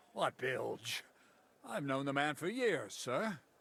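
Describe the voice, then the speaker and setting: Someone uses a raspy, put-on character voice at a fairly slow pace, the pitch swinging very widely. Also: man, fairly high pitch for a man. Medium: video game.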